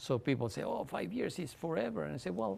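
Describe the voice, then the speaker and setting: A man with a Spanish accent, medium pitch, vocal fry, and a moderate pace. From Mexico (Mexico City). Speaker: author. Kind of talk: interview. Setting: library talk with audience. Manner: halting, frequent repetitions.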